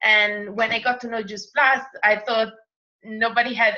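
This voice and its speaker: A woman with an Italian accent talks at a moderate pace. Her tone is bright and sharp, her intonation fairly even. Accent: Italian accent, noticeable. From Italy. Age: 30s. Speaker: makeup artist and network marketer. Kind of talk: group call presentation and testimony. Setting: recorded group call.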